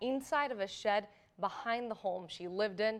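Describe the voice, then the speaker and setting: A woman with a normal speaking voice. She talks at a moderate pace and a medium pitch. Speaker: TV news anchor. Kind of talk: TV news anchor read. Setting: studio.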